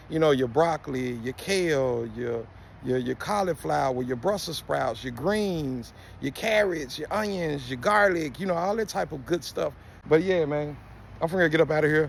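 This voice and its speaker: With lively intonation, a man speaks at a fairly high pitch. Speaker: gardening video creator. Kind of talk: tutorial. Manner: fast; animated.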